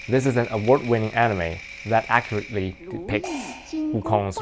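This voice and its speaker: Fairly low-pitched man with a Mandarin accent, moderate pace, noticeable background noise. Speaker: gaming YouTuber. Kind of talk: video commentary narration. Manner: hesitant with fillers.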